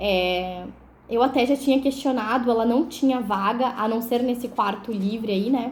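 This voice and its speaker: The speaker is a woman with a high-pitched voice. Her pitch varies in an ordinary way. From southern Brazil, Porto Alegre (Rio Grande do Sul). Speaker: vlogger. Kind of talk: personal testimony storytelling. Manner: casual, conversational with many fillers.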